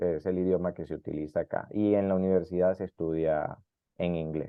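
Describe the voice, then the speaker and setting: A man's very deep, low voice at a moderate pace. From South America. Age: 30s. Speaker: immigrant interviewee. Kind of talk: interview.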